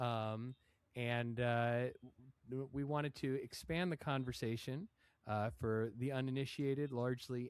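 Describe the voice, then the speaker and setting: Here a man has an ordinary speaking voice at medium pitch. His loudness stays very even, and his intonation is fairly even. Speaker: podcast host. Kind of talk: podcast intro.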